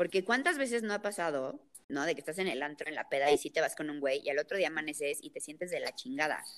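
A woman talks at a very fast pace. Her fairly low voice has lively intonation. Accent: Mexican. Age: 20s. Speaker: podcast co-host. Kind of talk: casual chat.

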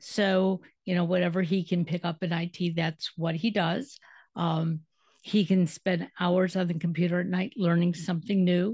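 A woman with an American accent speaks in a fairly low, somewhat breathy voice with fairly even intonation. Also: moderate pace. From Detroit, US Midwest. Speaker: radio podcast host. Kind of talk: casual interview chat.

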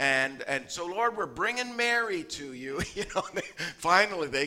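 Someone reads the passage aloud in a natural voice.

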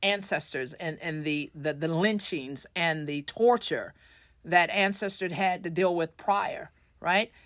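A woman with an American accent has a plain, everyday voice at a medium pitch, with lively intonation. She talks at a fairly slow pace in a very clean recording with a silent background. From Tulsa, Oklahoma. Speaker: state legislator. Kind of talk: interview. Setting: studio.

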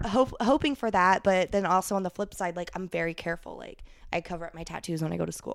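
A woman with an American accent talks at a very fast pace. Her voice carries vocal fry and big swings in loudness. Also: medium pitch for a woman, ordinary pitch variation. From Ohio, US Midwest. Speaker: adult film performer. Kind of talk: casual chat.

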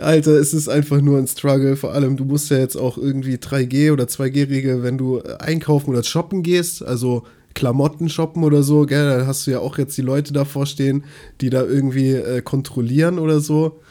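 The man's voice is fairly high in pitch yet dark and mellow in tone, delivered in a flat monotone. He keeps a moderate pace in a very clean recording with a silent background. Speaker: podcast co-host. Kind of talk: casual chat.

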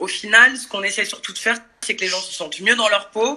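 Noticeable background noise accompanies a woman who talks at a fairly quick pace. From Paris suburbs, France. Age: 40s. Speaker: dance and fitness workshop leader. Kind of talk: casual chat. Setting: video call.

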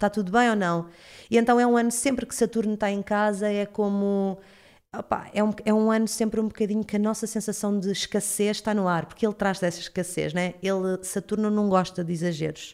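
A woman with a plain, everyday voice and a medium pitch talks at a fairly quick pace with fairly even intonation in a very clean recording with a silent background. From Portugal, Cacém (Lisbon area). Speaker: astrologer. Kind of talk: casual interview chat.

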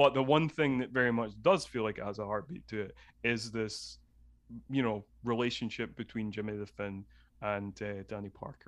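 A man speaks at a moderate pace with a medium pitch. His pitch varies in an ordinary way against a quiet background. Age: 30s. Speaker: podcast host and film guest. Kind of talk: casual chat. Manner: halting.

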